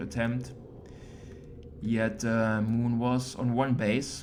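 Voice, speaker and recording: Audible room echo surrounds a speaker who goes at a fairly slow pace with ordinary pitch variation. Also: man. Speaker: esports caster. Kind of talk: game commentary.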